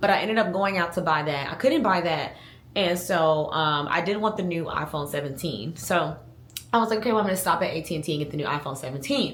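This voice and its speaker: Talking at a very fast pace, a woman uses a fairly low pitch and lively intonation amid audible room echo. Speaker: lifestyle vlogger. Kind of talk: casual vlog monologue. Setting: at home.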